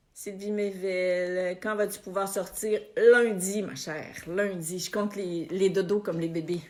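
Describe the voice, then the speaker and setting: In a Quebec accent, a woman talks very slowly with hardly any pauses. Her medium-pitched voice stays flat and monotone. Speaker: spiritual coach. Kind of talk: live stream chat with viewers. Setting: Facebook live video. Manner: casual, warm.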